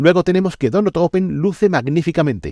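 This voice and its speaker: Over a quiet background, a man talks with lively intonation and a dark, mellow tone, the sound dry and close with no echo. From Andalusia. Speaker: video game critic. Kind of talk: scripted review.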